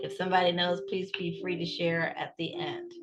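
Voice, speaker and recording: A woman speaks at a moderate pace. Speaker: writing coach and book consultant. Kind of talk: webinar presentation. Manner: animated.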